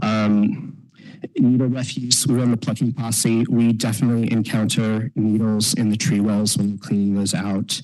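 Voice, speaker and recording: A medium-pitched man at a moderate pace, with very even loudness, fairly even intonation and noticeable background noise. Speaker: downtown business district manager presenting to city council. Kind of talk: presentation to city council. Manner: hesitant, many fillers.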